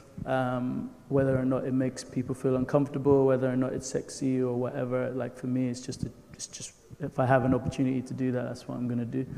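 Through noticeable background noise, a man with a medium pitch talks at a very fast pace in monotone, flat intonation. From Nigeria. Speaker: filmmaker. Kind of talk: panel discussion.

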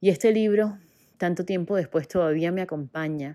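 In a very clean recording with a silent background, a woman talks at a moderate pace with a dark, mellow tone and fairly even intonation. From Colombia, Caribbean coast (Barranquilla). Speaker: personal development coach and podcaster. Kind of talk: personal monologue, inspirational. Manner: warm, gentle.

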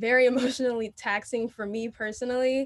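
The speaker is a woman with a fairly high pitch. She keeps a moderate pace. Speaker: university student and dancer. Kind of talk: panel discussion.

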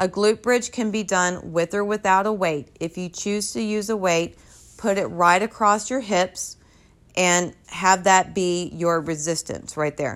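A woman in a normal speaking voice talks at a fairly slow pace, with medium pitch and ordinary pitch variation. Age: 30s. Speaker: personal trainer. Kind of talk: solo podcast tutorial.

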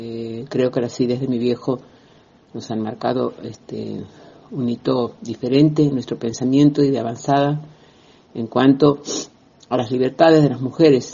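A man at medium pitch speaks at a fairly slow pace with fairly even intonation and long, frequent pauses. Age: 60s. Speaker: feminist activist. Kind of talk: recorded testimony. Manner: hesitant, many fillers.

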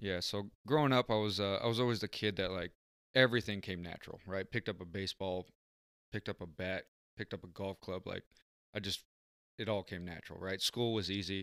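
A plain, everyday voice of a man with an American accent, fairly low pitch, fairly even intonation, and fairly quick pace, dry and close with no echo, in a very clean recording with a silent background. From San Diego area, California. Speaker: podcast guest. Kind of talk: casual chat.

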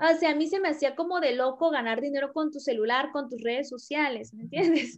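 Speaking at a fairly quick pace, a woman leaves hardly any pauses. Her voice is high, with ordinary pitch variation. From Mexico, Tabasco. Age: 30s. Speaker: network marketing leader. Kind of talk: interview, personal story. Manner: chatty, fast.

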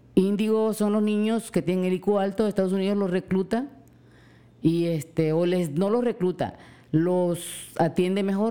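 A woman with a coastal Mexican accent speaks at a fairly slow pace with fairly even intonation. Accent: coastal Mexican, drops S. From Mexican coast. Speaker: host's mother. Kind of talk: casual chat.

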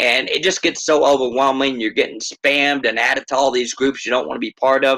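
At a fairly quick pace, a man speaks in a medium-pitched, bright and sharp voice with monotone, flat intonation. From Texas. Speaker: crypto project founder. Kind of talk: project presentation and Q&A. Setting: video or voice call. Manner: fast talker.

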